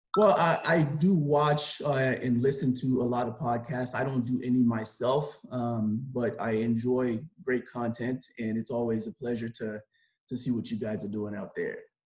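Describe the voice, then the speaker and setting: Speech in a Haitian accent at a moderate pace, with ordinary pitch variation. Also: man, medium pitch for a man. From Haiti, then Belle Glade, Florida from age 11. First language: Haitian Creole. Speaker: sports agent and lawyer. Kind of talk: podcast interview.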